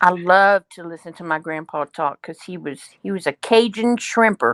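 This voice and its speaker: A woman with a Louisiana accent speaks at a moderate pace, her loudness swinging widely, against a quiet background. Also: fairly low pitch for a woman, ordinary pitch variation, dry, close sound with no echo. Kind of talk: casual chat.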